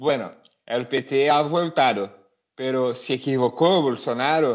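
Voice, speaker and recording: A man's fairly high-pitched, unremarkable speaking voice, with ordinary pitch variation and a quiet background. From Brazil. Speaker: lawyer and political activist. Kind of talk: interview answers on Twitter Space.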